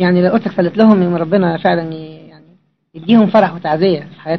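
Speaking very fast in a high voice, a man keeps his intonation fairly even while his loudness swings widely. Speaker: visitor to the monastery, traveller. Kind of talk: casual talk to a monk.

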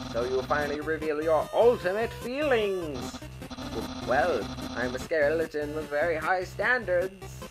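Clear music plays behind a man doing a put-on character voice. It is raspy and strained, fairly high in pitch, at a moderate pace. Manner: loud, goofy, flirty, boastful.

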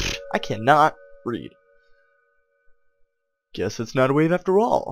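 Over music in the background, a man talks at a moderate pace, his pitch swinging very widely. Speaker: gaming video creator. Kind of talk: casual gameplay commentary. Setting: home microphone.

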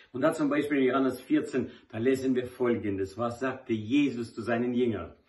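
Against a quiet background, a somewhat breathy man speaks at a moderate pace. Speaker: lay preacher. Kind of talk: devotional talk. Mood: warm, smiling. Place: home room. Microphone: phone near.

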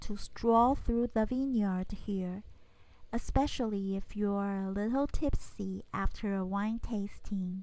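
A woman's dark, mellow tone at a slow pace, with ordinary pitch variation.

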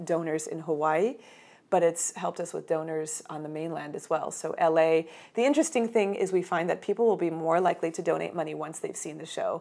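A woman talks at a very fast pace with a fairly low pitch. Her loudness swings widely while her pitch varies in an ordinary way. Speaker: mezzo-soprano and arts entrepreneur. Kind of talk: interview answer. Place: home room. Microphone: lapel.

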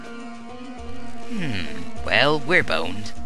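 A put-on character voice over loud background music.

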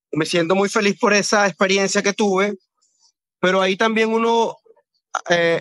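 A man's high voice, bright and sharp in tone with ordinary pitch variation, comes through dry and close with no echo. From Venezuela, Guayana (San Félix / Puerto Ordaz). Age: 30s. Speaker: film director. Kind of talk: interview. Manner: halting, with fillers.

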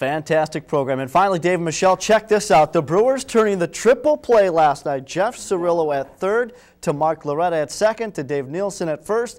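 A man speaks at a high pitch and a fairly quick pace. His tone is slightly mellow and his intonation lively.

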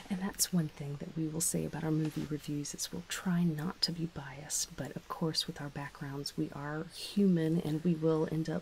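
Soft-spoken and somewhat breathy, the voice has a playful tone, monotone, flat intonation, a moderate pace and hardly any pauses over light background noise. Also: woman, very deep, low pitch for a woman. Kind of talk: ASMR movie review, casual conversation. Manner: soft-spoken, playful. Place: home room.

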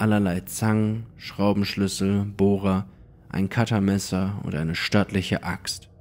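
A man speaks with a fairly low pitch and a dramatic tone. His pace is fairly slow. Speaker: horror story narrator. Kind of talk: ghost story telling, first-person creepypasta narration. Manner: hushed, suspenseful, slow-building; immersive, dramatic, tense.

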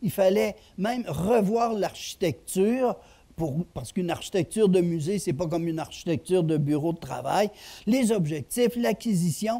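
Using lively intonation, a man speaks at a high pitch and moderate pace in a dark, mellow tone. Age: old. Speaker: retired history professor. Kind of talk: lecture. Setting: stage with audience. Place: stage. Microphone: headset.

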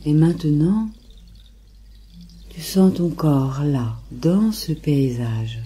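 A woman's very deep, low, somewhat breathy voice with a dark, mellow and soothing tone, a very slow pace, long and frequent pauses, lively intonation and big swings in loudness. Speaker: meditation guide. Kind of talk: guided meditation. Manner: slow, soothing.

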